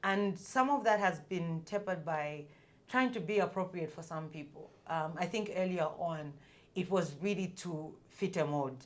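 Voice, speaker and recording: A woman speaks loudly at a moderate pace. Her fairly low pitch has ordinary variation. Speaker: commercial and marketing leader. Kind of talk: podcast interview.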